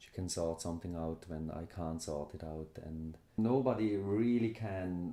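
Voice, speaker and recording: The speaker has a Swiss German accent. The tone is dark and mellow. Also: man. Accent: Swiss German accent, noticeable. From Switzerland. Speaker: immigrant interviewee. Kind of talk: interview testimony.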